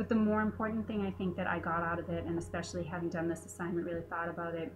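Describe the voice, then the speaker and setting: A woman talks very fast as noticeable background noise runs underneath. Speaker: veterinary technician. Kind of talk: class presentation. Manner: hesitant fillers.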